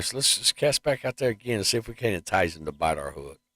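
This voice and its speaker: The man's medium-pitched voice has an animated tone with very wide pitch swings. It sounds dry and close with no echo. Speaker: gaming streamer. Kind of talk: live gameplay commentary.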